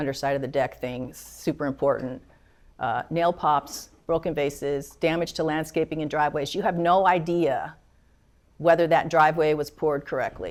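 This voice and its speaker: Heard on a very clean recording with a silent background, a woman speaks at a very deep, low pitch with fairly even intonation. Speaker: attorney. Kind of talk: lecture. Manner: fast.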